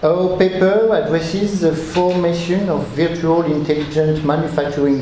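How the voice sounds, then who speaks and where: Amid noticeable background noise and audible room echo, a man with a French accent speaks at a moderate pace with ordinary pitch variation. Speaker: researcher. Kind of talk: conference talk. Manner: reading aloud; halting.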